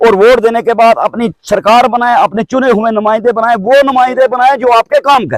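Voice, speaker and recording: A man speaks at an extremely high pitch with ordinary pitch variation. His moderate-paced delivery has a dry, close sound with no echo. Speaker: villager. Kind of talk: public appeal interview. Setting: outdoors. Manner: formal.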